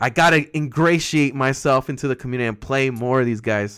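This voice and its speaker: A plain, everyday voice from a man at medium pitch, fairly quick in pace with ordinary pitch variation, on a very clean recording with a silent background. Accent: American. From Southern California, Inland Empire. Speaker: podcast host. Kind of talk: casual chat.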